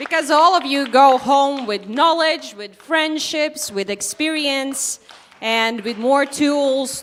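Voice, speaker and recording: Loud and high-pitched, a woman speaks at a fairly slow pace with ordinary pitch variation. Noticeable background noise runs behind her. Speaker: event moderator. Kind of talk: live event hosting. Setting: stage with audience. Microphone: no microphone.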